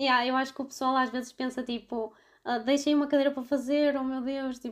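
The talking moves at a fairly quick pace in a very clean recording with a silent background. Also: woman. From Portugal, Vila Nova de Gaia (Porto area). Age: 20s. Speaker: veterinary student. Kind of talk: casual chat.

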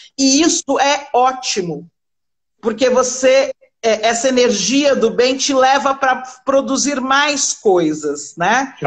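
The woman speaking has a high pitch. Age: 40s. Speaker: fashion entrepreneur. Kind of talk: live-stream interview. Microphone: unstable connection.

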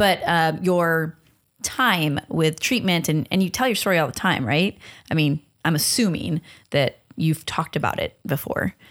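On a very clean recording with a silent background, a woman with an American accent speaks at a moderate pace with lively intonation and very even loudness. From Long Beach, California. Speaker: podcast host and nonprofit founder. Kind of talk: casual interview chat.

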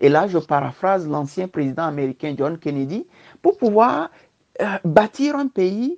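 At a very slow pace, a medium-pitched woman's voice swings very widely in pitch, with a dry, close sound and no echo. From Togo. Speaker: diaspora political aspirant. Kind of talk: interview. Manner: halting.

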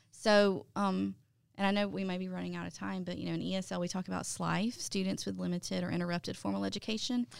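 A woman with a Southern US accent at a very fast pace. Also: very clean recording, silent background. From US South, Mobile area, Alabama. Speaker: ESL and English teacher. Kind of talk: interview. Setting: studio.

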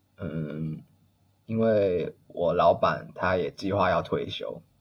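A man speaking at a very slow pace. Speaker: HR employee. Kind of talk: casual interview. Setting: remote call.

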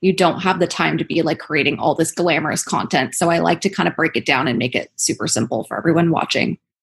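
A woman's fairly low voice with vocal fry, very fast pace and ordinary pitch variation. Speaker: esthetician and podcaster. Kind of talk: interview, casual chat.

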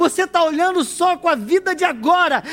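A man with an extremely high pitch talks in an animated tone, and noticeable background noise runs beneath him. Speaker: preacher. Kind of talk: sermon. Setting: church with congregation. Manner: animated, exhorting the congregation, call-and-response; emphatic, preacherly delivery.

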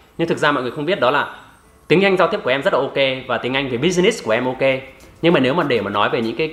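A man's fairly high voice at a very fast pace, with lively intonation, over noticeable background noise. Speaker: English-learning youtuber. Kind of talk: casual conversation.

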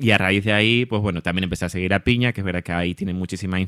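A man with a Canarian accent speaks at a very fast pace in a fairly low pitch with fairly even intonation, in a very clean recording with a silent background and a dry, close sound with no echo. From Canary Islands, Tenerife. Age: 30s. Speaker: social media creator on curly hair. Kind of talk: casual interview.

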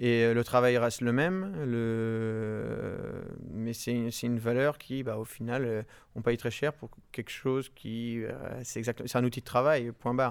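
Over a silent background in a very clean recording, a man of medium pitch speaks at a moderate pace in an ordinary speaking voice. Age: 20s. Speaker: winegrower. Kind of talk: interview. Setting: tasting cellar at the estate.

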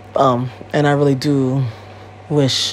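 With noticeable background noise behind her, a woman with an American accent speaks at a very deep, low pitch. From Connecticut, US. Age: 30s. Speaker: podcast host. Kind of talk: casual solo monologue. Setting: home recording. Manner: animated, many fillers.

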